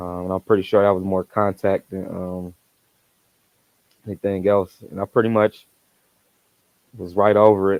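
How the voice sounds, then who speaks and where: This man's fairly low voice stays monotone and flat as he speaks at a moderate pace. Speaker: vlogger. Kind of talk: casual chat. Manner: halting.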